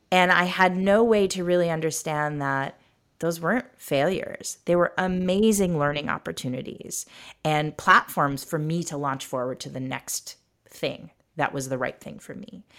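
A woman with an American accent speaks in a normal speaking voice, fairly low in pitch, at a moderate pace. Her pitch varies in an ordinary way, while her loudness swings widely. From rural Michigan, US. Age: 40s. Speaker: education company executive. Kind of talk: interview. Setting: video call.

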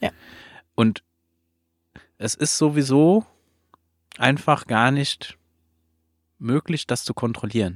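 A man speaks at a very slow pace in a medium-pitched voice, with lively intonation and long, frequent pauses. The recording is very clean with a silent background, and the sound is dry and close with no echo. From outside Germany. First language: not German (speaking German). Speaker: podcast host. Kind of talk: casual interview conversation. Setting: recorded in a trailer at an event venue.

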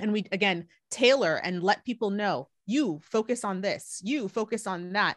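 With an American accent, a woman speaks at a medium pitch with ordinary pitch variation and hardly any pauses, in a dry, close sound with no echo over a quiet background. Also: moderate pace. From US West Coast. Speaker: Islamic life coach. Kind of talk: casual interview.

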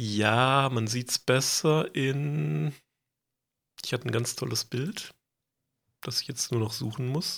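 On a very clean recording with a silent background, a man of medium pitch speaks at a very slow pace with lively intonation and long, frequent pauses. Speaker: podcast co-host presenting lore research. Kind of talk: casual chat.

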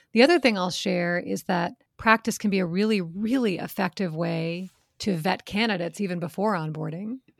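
Recorded very cleanly against a silent background, a woman of medium pitch uses a normal speaking voice at a fairly quick pace with ordinary pitch variation. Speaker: sales coaching company co-founder. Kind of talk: casual Q&A interview.

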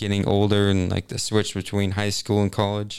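On a very clean recording with a silent background, a man with an American accent speaks at a fairly low pitch. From US Midwest, Kansas City area. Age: 20s. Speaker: college student. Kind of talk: casual interview.

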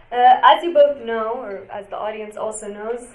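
Against noticeable background noise, a woman speaks at a fairly quick pace in a fairly high pitch with fairly even intonation. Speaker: panel moderator. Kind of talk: moderating a panel. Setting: stage with audience. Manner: trying to speak louder.

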